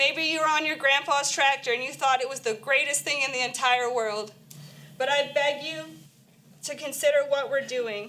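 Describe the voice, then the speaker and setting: With a raised, projected voice, a woman speaks at a high pitch and a moderate pace, her intonation fairly even amid audible room echo. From Florida, Miami-Dade. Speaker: nurse speaking at public comment. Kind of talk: public comment speech. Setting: county council meeting.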